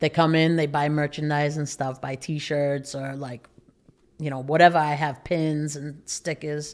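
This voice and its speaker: A woman speaks with a very deep, low pitch and fairly even intonation at a moderate pace. The recording is very clean, against a silent background. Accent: strong Boston. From Massachusetts, Lawrence (Boston area). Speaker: barber and educator. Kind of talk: casual podcast interview. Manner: monotone.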